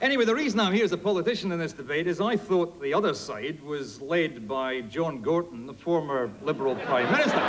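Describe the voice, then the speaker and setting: A man's high voice with a Scottish accent, fairly quick with hardly any pauses and very wide pitch swings, amid noticeable background noise and audible room echo. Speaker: politician. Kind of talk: comedy debate speech. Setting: stage with audience.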